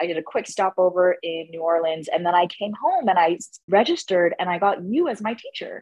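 Her voice is a normal speaking voice, delivered at a moderate pace. She is a woman with a medium pitch and ordinary pitch variation. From Canada. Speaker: stand-up comedian. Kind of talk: interview.

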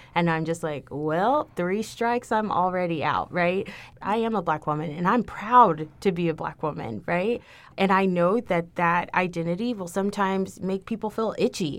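A woman with an American accent and an ordinary speaking voice, medium in pitch with ordinary pitch variation, at a moderate pace, in a very clean recording with a silent background. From Texas, Houston. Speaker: university diversity administrator. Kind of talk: casual interview.

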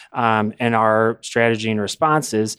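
A man with a normal speaking voice talks at a fairly slow pace and a medium pitch in a very clean recording with a silent background. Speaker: union legal counsel. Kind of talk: explanatory interview. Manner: measured, formal, many fillers.

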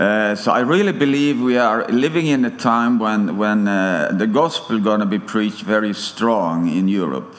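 Lively intonation and a Swedish accent carry this moderate-paced speech with hardly any pauses, set against audible room echo and noticeable background noise. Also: man. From Sweden. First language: Swedish (speaking German). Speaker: preacher. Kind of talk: sermon. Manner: halting.

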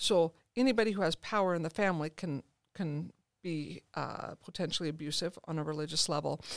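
This is a normal speaking voice: a woman, fairly low in pitch, speaking at a moderate pace with ordinary pitch variation. The sound is dry and close with no echo, and the recording is very clean with a silent background. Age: 50s. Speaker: therapist and author. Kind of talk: interview. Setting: studio.

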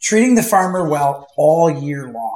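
A man with an American accent speaks at a fairly high pitch, somewhat breathy, with lively intonation. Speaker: goose hunter. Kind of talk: casual chat. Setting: studio.

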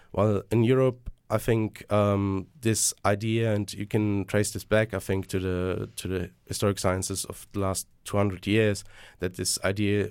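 Here a man talks in a flat monotone at a moderate pace and a fairly low pitch. The recording is very clean with a silent background. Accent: German. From Germany. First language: German. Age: 20s. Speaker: student podcast host. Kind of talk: casual podcast discussion. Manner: hesitant, repeats words.

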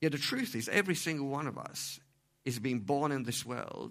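Recorded very cleanly against a silent background, a man with vocal fry speaks at a medium pitch and a moderate pace with ordinary pitch variation. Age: 40s. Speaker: preacher. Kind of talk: sermon.

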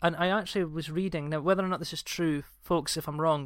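Captured on a very clean recording with a silent background, the speaker moves at a fairly quick pace in a Scottish accent, with ordinary pitch variation. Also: man. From Scotland. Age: 30s. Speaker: podcast host. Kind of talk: casual chat.

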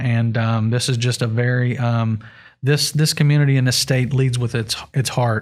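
In a West Virginia accent, a man talks at a moderate pace and medium pitch with monotone, flat intonation. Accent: Appalachian (West Virginia). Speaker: hemp grower and CBD business owner. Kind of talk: interview. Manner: halting, many fillers.

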